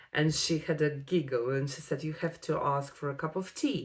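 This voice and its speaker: A woman with a non-native accent speaks at a fairly slow pace in a very deep, low voice. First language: Russian. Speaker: vlogger. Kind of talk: personal vlog storytelling. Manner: hesitant, with frequent fillers.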